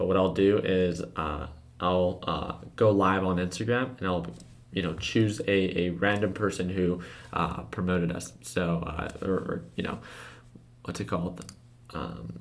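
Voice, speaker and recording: A put-on character voice, raspy and with audible echo, delivers its lines at a moderate pace. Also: man, very deep, low pitch for a man. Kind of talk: casual. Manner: stuttering, hesitant.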